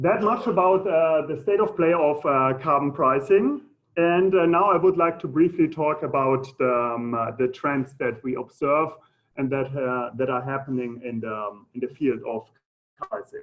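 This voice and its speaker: In a German accent, the speaker keeps a moderate pace with lively intonation. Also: man, fairly high pitch for a man. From Germany. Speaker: economist. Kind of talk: lecture. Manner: halting, many fillers.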